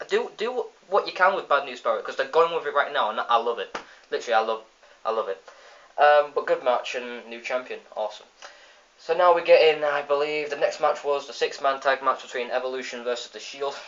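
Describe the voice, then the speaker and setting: Noticeable background noise sits behind a man talking at a fairly quick pace with an English accent. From England. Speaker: wrestling video reviewer. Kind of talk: casual review vlog. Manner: animated.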